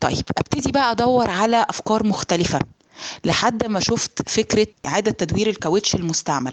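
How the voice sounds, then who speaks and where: The sound is dry and close with no echo as a woman with an Egyptian accent talks at a moderate pace, her fairly high voice showing ordinary pitch variation. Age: 30s. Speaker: entrepreneur. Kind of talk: testimony.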